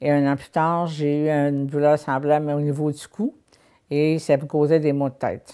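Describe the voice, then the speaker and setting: A woman with a very deep, low pitch and a dark, mellow tone speaks at a very slow pace in a very clean recording with a silent background. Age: 70s. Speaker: health service user. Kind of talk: testimony.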